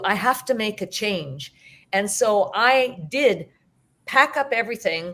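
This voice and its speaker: This woman has an unremarkable speaking voice with a Canadian accent, a fairly high pitch and ordinary pitch variation. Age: 60s. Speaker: teacher and hypnotherapist. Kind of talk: interview.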